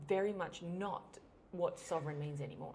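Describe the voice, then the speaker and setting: Medium-pitched female speech, with audible room echo. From Australia. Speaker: podcast host. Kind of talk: interview conversation.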